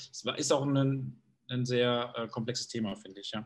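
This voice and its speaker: A man's medium-pitched, somewhat breathy voice moves through ordinary pitch variation. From Germany, East Westphalia (Bielefeld). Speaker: sales manager. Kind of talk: interview. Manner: halting, many fillers and repetitions.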